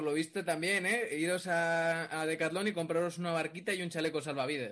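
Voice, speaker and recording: A man speaks fairly quickly at a fairly high pitch, with a bright, sharp tone. The background is quiet. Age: 30s. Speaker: podcast host. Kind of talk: casual chat.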